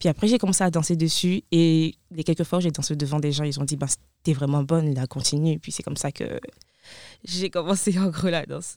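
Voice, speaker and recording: A woman's very deep, low voice with a dark, mellow tone at a moderate pace, in a dry, close sound with no echo. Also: ordinary pitch variation. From Ivory Coast. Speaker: student dancer. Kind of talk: interview.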